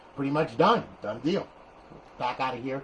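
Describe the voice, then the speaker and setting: A man talks with an American accent. Background noise is noticeable. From New Jersey (Paterson). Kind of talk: tutorial. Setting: garage. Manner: loud; animated.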